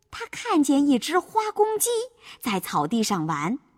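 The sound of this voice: The speaker reads in an unforced reading voice.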